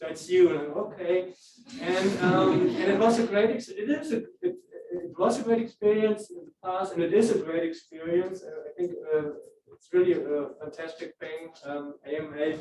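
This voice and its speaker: A man speaks in a high voice with a German accent, his loudness rising and falling sharply. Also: ordinary pitch variation, moderate pace. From Germany. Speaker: professor and club advisor. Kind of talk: informal talk to student meeting. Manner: halting, many fillers.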